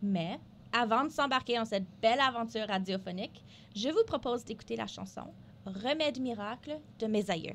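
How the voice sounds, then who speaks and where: A woman speaks with a fairly high pitch and some vocal fry. Her pace is moderate, with ordinary pitch variation. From northern Alberta, Canada (Franco-Albertan). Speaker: radio co-host, health network development officer. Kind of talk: scripted radio show presentation. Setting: radio studio. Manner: hesitant, many filler sounds.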